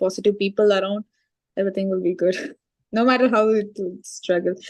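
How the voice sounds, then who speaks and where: This is a woman's voice. She speaks with an Indian accent. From India, Chennai. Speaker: IT professional, former student. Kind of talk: interview testimony.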